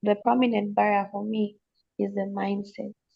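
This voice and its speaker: The speaker goes at a fairly slow pace. The voice is somewhat breathy. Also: woman. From Zambia. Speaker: panelist on youth dialogue. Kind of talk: panel discussion. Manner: halting, many false starts.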